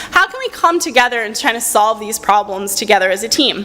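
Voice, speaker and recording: Against noticeable background noise, a woman raises and projects her voice, her pitch swinging very widely. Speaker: researcher and university lecturer. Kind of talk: conference presentation; audience Q&A answer. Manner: fast.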